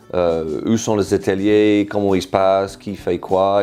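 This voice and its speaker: A man's very deep, low-pitched voice with a British accent. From Britain. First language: English (speaking French). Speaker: improv workshop leader. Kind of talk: interview testimony. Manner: halting, many fillers.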